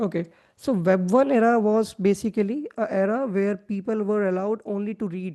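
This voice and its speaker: With a non-native accent, a woman speaks at a moderate pace in a medium pitch with a dark, mellow tone and fairly even intonation. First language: not English. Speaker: web3 developer relations lead, workshop presenter. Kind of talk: online workshop presentation. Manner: hesitant, many fillers.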